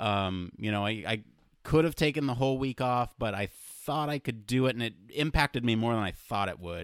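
Medium pitch and ordinary pitch variation in a man's voice. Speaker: podcast host. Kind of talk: casual chat. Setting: remote call. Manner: fast.

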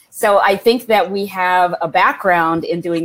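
A speaker with an American accent is heard over noticeable background noise. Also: woman. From India, raised in the US. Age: 50s. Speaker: historical fiction novelist. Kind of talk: interview.

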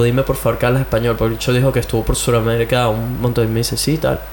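Very fast speech in a Caracas accent, with an animated tone. Noticeable background noise sits behind the voice. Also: man. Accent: Venezuelan Spanish (Caracas). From Venezuela (Caracas). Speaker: podcast host. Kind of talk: casual chat. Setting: home studio.

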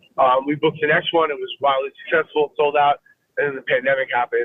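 A man with an American accent and an ordinary speaking voice, fairly high in pitch, at a fairly quick pace. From Fort Lauderdale, Florida. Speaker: musician and music educator. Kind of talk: casual interview. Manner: relaxed, casual.

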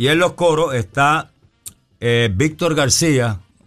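Music plays in the background as a man talks at a very slow pace. His intonation is lively. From Puerto Rico. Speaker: bass player. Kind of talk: interview. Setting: radio studio.

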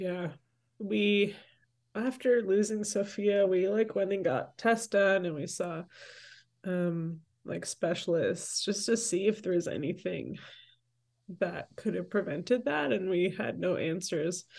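A woman with a Toronto accent at medium pitch, fairly slow pace and ordinary pitch variation, with long, frequent pauses against a quiet background. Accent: Canadian (Toronto). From Toronto, Canada; Salvadoran parents. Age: 30s. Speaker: campus minister and church leader. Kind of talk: interview conversation.

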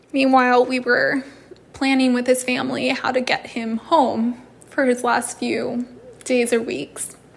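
A woman's high-pitched voice, monotone and flat, at a fairly slow pace over noticeable background noise. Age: 20s. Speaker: bereaved partner. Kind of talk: personal testimony.

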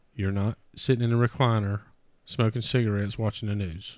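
A man with a fairly low voice speaks at a moderate pace, his intonation fairly even. The recording is very clean, the background silent. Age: 30s. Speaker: podcast host. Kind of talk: casual chat.

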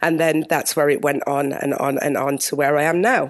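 Here a woman speaks with a British accent. Her pace is moderate. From UK. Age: 40s. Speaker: TV and live event producer. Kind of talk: interview.

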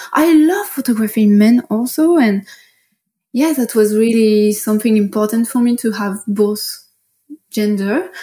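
Speaking with a French accent at a fairly slow pace, a woman with a fairly high pitch, ordinary pitch variation and a dark, mellow tone leaves long, frequent pauses. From France, Paris. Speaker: fine art photographer. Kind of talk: interview.

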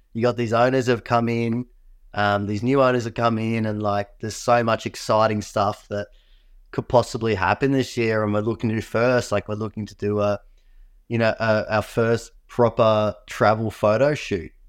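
Moderately paced and monotone, a man talks with flat intonation at a medium pitch. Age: 30s. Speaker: pro wing foil competitor. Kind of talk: casual chat. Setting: video call from home.

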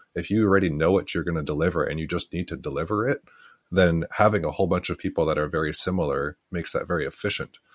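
A man's very deep, low voice with a Canadian accent at a very fast pace, ordinary pitch variation, and a dry, close sound with no echo on a very clean recording against a silent background. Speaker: podcast co-host. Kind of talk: casual chat.

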